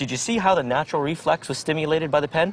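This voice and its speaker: Amid noticeable background noise, a man speaks at a very fast pace, his pitch fairly high with ordinary variation. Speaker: strength mechanics expert and trainer. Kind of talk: infomercial product demonstration.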